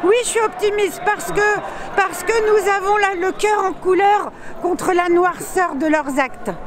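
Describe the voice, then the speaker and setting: A woman talks fairly slowly at an extremely high pitch with ordinary pitch variation. Noticeable background noise is present. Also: very even loudness. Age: 60s. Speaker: protester. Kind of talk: street interview. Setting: outdoors at a street protest. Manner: animated.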